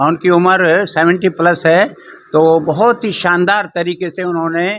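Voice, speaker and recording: A man talks in a high voice. His intonation stays fairly even. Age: 80s+. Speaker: religious society volunteer, master athlete. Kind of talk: interview.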